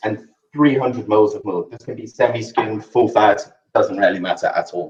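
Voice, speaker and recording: A man with a South African accent at a moderate pace, with big swings in loudness. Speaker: chef. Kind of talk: cooking demonstration.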